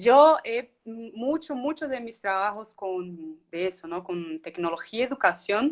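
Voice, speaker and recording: Her loudness swings a lot and her pace is very slow. The woman has a medium pitch, a Colombian accent, and lively intonation. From Brazil. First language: Portuguese (speaking Spanish). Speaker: communicator, education technology worker. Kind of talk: online interview conversation.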